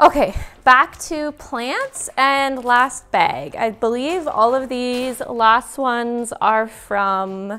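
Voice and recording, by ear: A woman at a very slow pace, fairly high in pitch, her tone clear, smooth and fairly bright, with ordinary pitch variation and few pauses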